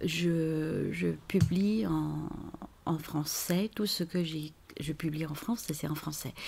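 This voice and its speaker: A woman speaks very slowly with a very deep, low pitch and ordinary pitch variation. Her tone is dark and mellow, and somewhat breathy. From China. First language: Chinese (speaking French). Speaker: author and translator. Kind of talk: interview. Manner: halting, many hesitations.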